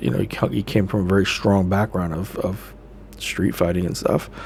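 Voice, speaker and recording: Noticeable background noise sits behind a man with a fairly low voice and ordinary pitch variation. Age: 40s. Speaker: spiritual vlogger and addiction counselor. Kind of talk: casual live monologue. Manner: hesitant, many fillers.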